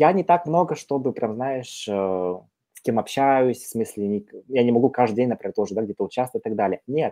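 A man talks at a fairly quick pace in a medium-pitched voice with a dark, mellow tone and lively intonation. The sound is dry and close with no echo, over a quiet background. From Kazakhstan. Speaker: career consultant. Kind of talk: casual chat.

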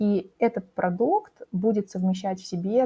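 A woman is speaking with ordinary pitch variation. There is a somewhat breathy quality to her voice. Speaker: career coach. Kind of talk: interview. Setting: studio.

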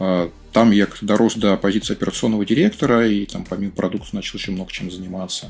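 Over music in the background, a man with a fairly low pitch speaks at a very fast pace with fairly even intonation and hardly any pauses. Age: 40s. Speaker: marketing director. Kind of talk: casual chat.

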